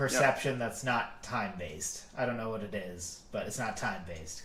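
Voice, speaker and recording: Amid noticeable background noise and audible room echo, a man talks fairly quickly at medium pitch with lively intonation. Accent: American. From Massachusetts. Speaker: podcast co-host. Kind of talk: casual discussion. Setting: live stream.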